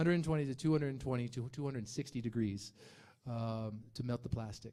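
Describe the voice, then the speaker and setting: Speaking at a very fast pace with an American accent, a man has a medium pitch and ordinary pitch variation. His tone is dark and mellow. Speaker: animator and magazine creator. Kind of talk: talk with audience Q&A.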